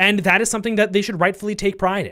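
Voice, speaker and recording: In a very clean recording with a silent background, a man speaks very fast in an animated tone. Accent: American. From Texas. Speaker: history YouTuber. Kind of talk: live stream Q&A.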